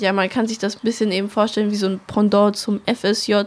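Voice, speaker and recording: A woman talks at a moderate pace in a medium pitch, keeping her intonation fairly even. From Swabia, near Stuttgart. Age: 19. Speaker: ecological volunteer. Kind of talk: interview. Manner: hesitant, many fillers.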